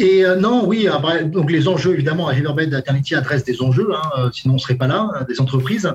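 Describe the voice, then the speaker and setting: A fairly high-pitched man's voice with ordinary pitch variation, over noticeable background noise. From France, Brittany (Brest). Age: 40s. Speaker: sales director. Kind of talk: interview. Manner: halting, many repetitions and fillers.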